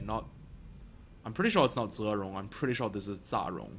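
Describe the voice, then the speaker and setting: A man's fairly low, bright, sharp voice at a fairly quick pace with ordinary pitch variation. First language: bilingual, English and Mandarin Chinese. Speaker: let's play gamer. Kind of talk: gameplay commentary. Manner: casual, hesitant with many fillers.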